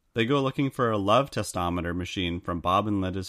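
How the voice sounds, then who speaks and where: Fairly quick and deadpan, a man talks at a fairly low pitch. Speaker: podcast co-host. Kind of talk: casual chat.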